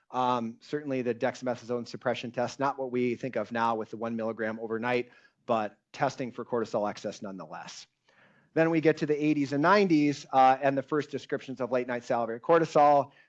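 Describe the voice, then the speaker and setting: Over a quiet background, a man talks at a fairly quick pace in a medium-pitched voice with ordinary pitch variation. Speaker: endocrinology professor giving a lecture. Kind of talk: lecture. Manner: loud.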